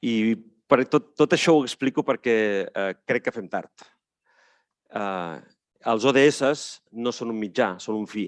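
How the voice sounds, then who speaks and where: Speaking in a Catalan accent, a man with a medium-pitched voice talks at a moderate pace with ordinary pitch variation. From Catalonia. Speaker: panelist, head of a city network. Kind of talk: conference talk. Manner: many hesitations.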